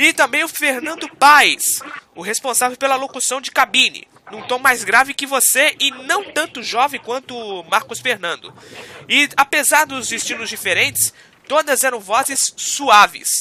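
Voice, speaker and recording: In a raised, projected voice, a man speaks fairly slowly at an extremely high pitch with ordinary pitch variation. The sound is dry and close with no echo, over noticeable background noise. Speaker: radio host. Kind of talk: radio interview host.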